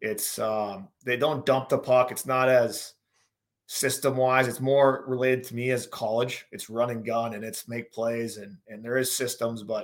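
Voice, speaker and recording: An ordinary speaking voice with fairly even intonation, in an American accent. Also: man. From North Dakota, US Upper Midwest. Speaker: former pro hockey player, betting analysis guest. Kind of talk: casual sports betting chat.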